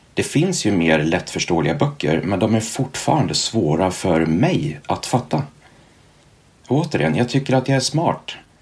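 At a moderate pace, a man speaks in a medium pitch. His pitch swings very widely. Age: 40s. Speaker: author with ADHD. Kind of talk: interview.

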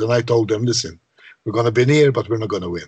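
In a Maltese accent, a man speaks at a medium pitch with fairly even intonation and a somewhat breathy voice. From Malta. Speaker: composer and songwriter. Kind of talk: interview.

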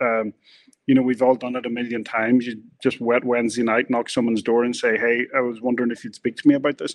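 A man with a Northern Irish accent, medium in pitch, monotone and flat, at a very fast pace. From Northern Ireland. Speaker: screenwriter and producer, former journalist. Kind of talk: casual interview chat.

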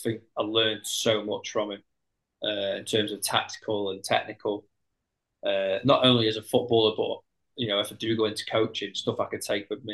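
A man talks fairly quickly, with a quiet background behind him. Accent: Potteries. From Stoke-on-Trent, English Midlands. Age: 30s. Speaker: footballer. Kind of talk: casual chat.

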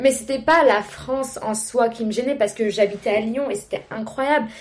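Her pitch fairly high and her intonation fairly even, a woman speaks at a fairly slow pace. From London. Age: young. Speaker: business school student. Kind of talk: casual chat. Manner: halting.

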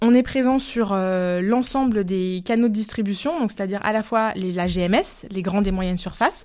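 On a very clean recording with a silent background, a woman speaks at a medium pitch. Her pace is moderate and her pitch varies in an ordinary way. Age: 30s. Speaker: marketing manager. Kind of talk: interview. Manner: hesitant, frequent fillers.

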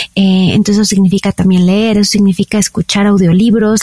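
In a Mexican accent, a woman at a medium pitch speaks at a fairly quick pace with monotone, flat intonation. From Mexico. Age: 40s. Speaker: wellness entrepreneur and health coach. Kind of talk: interview conversation.

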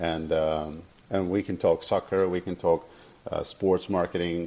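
Very deep, low-pitched man's voice, dark and mellow, at a fairly slow pace. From Brazil. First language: Portuguese. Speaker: journalist. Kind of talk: interview. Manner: halting.

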